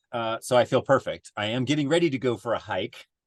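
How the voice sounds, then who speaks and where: A man with an unremarkable speaking voice talks at a fairly quick pace, his pitch medium. His intonation is lively, and the sound is dry and close with no echo. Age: 50s. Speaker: adventure racer. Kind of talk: casual chat.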